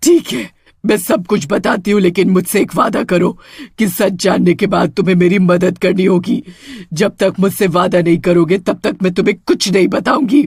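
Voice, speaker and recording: Using a cartoonish character voice, a man speaks at a high pitch and a moderate pace. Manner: harsh, threatening.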